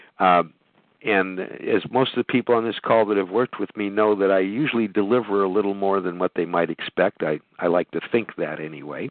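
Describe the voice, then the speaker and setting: An unremarkable speaking voice at a fairly quick pace with ordinary pitch variation. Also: man, fairly low pitch for a man. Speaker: podcast host. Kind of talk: live call-in business talk show. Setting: phone conference call.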